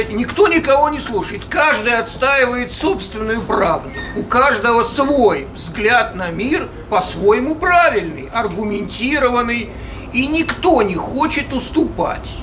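Over noticeable background noise, a man with an extremely high pitch and lively intonation speaks at a very slow pace. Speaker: audience member. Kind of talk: audience question. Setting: live audience, microphone. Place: hall.

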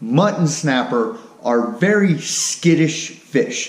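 With audible room echo, a man speaks in very wide pitch swings. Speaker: fishing channel host. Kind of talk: tutorial. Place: garage. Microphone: camera far.

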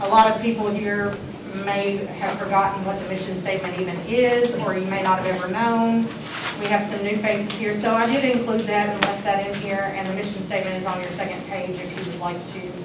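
The speech moves at a fairly quick pace. Loud background noise and audible room echo fill the recording. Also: woman. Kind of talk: meeting business talk. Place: meeting room. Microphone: camera far.

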